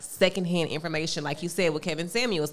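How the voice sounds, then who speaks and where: She has an ordinary speaking voice, fairly low in pitch. The woman talks at a moderate pace. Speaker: podcast co-host. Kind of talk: casual chat.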